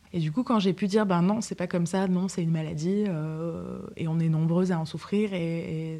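This woman's voice has a dark, mellow tone and a fairly low pitch. Her intonation stays fairly even. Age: 30s. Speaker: psychotherapist, patient telling her story. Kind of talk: testimony. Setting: her apartment. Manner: articulate, with hesitations.

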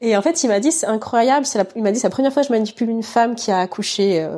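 Through a very clean recording with a silent background, a woman's fairly high voice carries a dark, mellow tone and lively intonation. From mainland France. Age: 30s. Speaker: cancer survivor and mother. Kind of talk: testimony. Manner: hesitant, many fillers.

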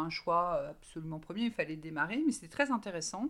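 Her medium pitch and ordinary pitch variation mark an unremarkable speaking voice, as a woman talks at a moderate pace. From Brittany, France. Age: 40s. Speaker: recruiter. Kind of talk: interview.

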